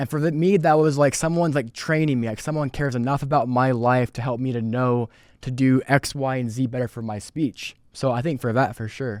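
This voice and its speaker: A man speaks in an ordinary speaking voice at a fairly quick pace with hardly any pauses, medium pitch and ordinary pitch variation, in a very clean recording against a silent background. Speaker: sales representative. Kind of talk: podcast interview answer.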